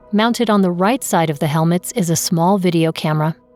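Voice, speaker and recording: Music sits in the background. Pitch varies in an ordinary way as the talking goes fairly quickly. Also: woman. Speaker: audio describer. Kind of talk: audio description narration.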